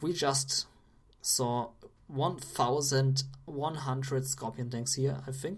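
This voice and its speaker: Very slow, somewhat breathy speech with fairly even intonation. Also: woman, very deep, low pitch for a woman. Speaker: game caster. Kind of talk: live commentary.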